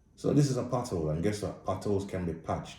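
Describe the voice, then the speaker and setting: Audible room echo surrounds a man with a Jamaican accent whose voice is somewhat breathy, with a dark, mellow tone. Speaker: blind movie reviewer. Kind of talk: casual spoken movie review. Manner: casual, blunt.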